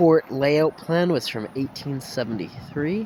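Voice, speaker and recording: Over noticeable background noise, a man with a fairly high pitch speaks at a very slow pace with lively intonation. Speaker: vlogger. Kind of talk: walking tour vlog with reading of plaques. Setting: outdoors.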